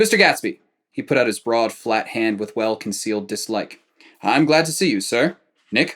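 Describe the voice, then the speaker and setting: A man puts on a gruff, husky character voice at a medium pitch. He keeps a moderate pace with lively intonation. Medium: read story. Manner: irritable, high with annoyance.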